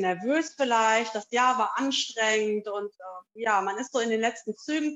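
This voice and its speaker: Keeping a moderate speed, a woman talks with ordinary variation in pitch. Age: 40s. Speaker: yoga teacher. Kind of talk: interview. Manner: hesitant, many fillers.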